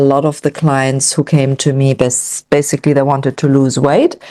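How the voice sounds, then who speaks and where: A woman's voice, very deep and low in pitch with a dark, mellow tone, comes across dry and close with no echo. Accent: German. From Germany. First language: German. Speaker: nutrition coach. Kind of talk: online event presentation.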